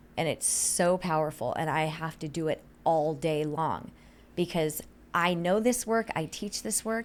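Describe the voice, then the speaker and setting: Animated in tone, a woman with a fairly low pitch talks at a fairly slow pace with ordinary pitch variation. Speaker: health consultant. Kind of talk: interview.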